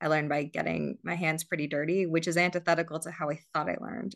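With an American accent, a woman speaks at a very deep, low pitch with vocal fry and fairly even intonation. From Southern California, South African family. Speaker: climate investor and fundraiser. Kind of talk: interview. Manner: frequent fillers and hesitations.

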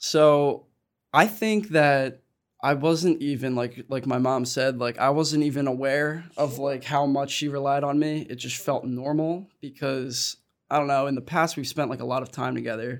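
An unremarkable speaking voice from a man, fairly high in pitch, with fairly even intonation and a moderate pace, in a very clean recording with a silent background. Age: 20s. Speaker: college student, son of parent in recovery. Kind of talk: casual panel conversation.

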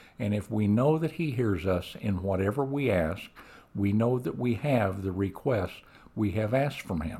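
At a moderate pace, a man speaks with lively intonation in a dark, mellow, somewhat breathy tone. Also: fairly low pitch for a man. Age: 70s. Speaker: business executive. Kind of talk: testimony.

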